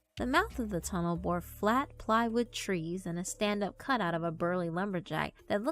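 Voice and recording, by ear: Pitch varies in an ordinary way. The text is read aloud in a natural voice.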